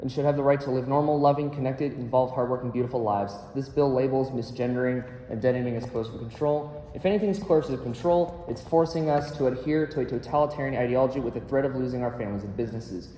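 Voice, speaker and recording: The speech moves at a very fast pace with ordinary pitch variation. Noticeable background noise sits behind it. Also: man. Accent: American. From Colorado, Douglas County. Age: 20s. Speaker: public testifier at legislative hearing. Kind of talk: legislative testimony. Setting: legislative committee hearing. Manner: formal.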